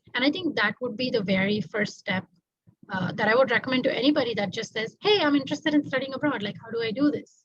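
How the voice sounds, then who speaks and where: A woman talks at a very fast pace. She has a Tamil accent and lively intonation. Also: fairly high pitch for a woman. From India, Mumbai. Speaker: doctoral student. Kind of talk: interview.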